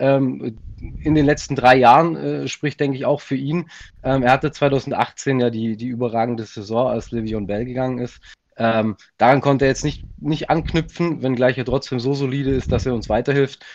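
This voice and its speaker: A man's plain, everyday voice at medium pitch, with fairly even intonation and a moderate pace. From Swabia, southern Germany. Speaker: football fan, community member. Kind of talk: casual chat.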